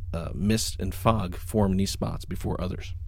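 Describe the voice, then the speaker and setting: A man speaks in an unremarkable speaking voice. His pitch variation is ordinary. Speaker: podcast host. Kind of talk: casual chat.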